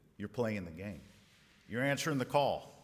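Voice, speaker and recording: The speaker's intonation is lively, with vocal fry running through the voice. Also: man. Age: 50s. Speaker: company executive and event speaker. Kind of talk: dinner speech. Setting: banquet room with audience.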